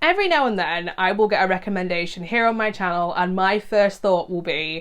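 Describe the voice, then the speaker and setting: A woman's medium-pitched voice with a British accent, fairly quick, with ordinary pitch variation. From UK. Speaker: horror movie YouTuber. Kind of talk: casual video monologue previewing movies. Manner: conversational, enthusiastic.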